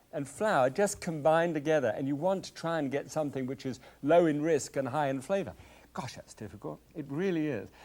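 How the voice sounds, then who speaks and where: Lively intonation colors this voice with a British accent. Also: man. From Scotland. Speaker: TV cooking show host. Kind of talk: cooking demonstration. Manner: halting, with many fillers.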